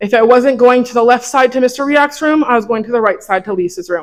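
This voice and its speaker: A woman's plain, everyday voice, fairly high and fairly quick, with ordinary pitch variation. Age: 20s. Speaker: former student giving eulogy. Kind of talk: memorial speech.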